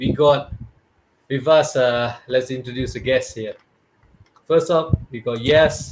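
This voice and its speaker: A somewhat breathy voice moves at a very slow pace with long, frequent pauses. Its intonation is fairly even while its loudness swings widely. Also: man, medium pitch for a man. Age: 30s. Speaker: podcast host. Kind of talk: casual chat.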